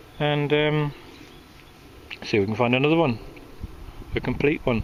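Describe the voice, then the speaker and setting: A man speaks at a fairly quick pace with ordinary pitch variation. Noticeable background noise sits behind him. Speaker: metal detectorist. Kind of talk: casual vlog commentary. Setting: outdoors.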